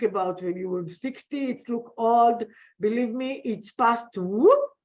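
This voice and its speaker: A woman speaks with lively intonation and a fairly high pitch. Her pace is fairly slow. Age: 60s. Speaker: business coach. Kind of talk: interview. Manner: halting.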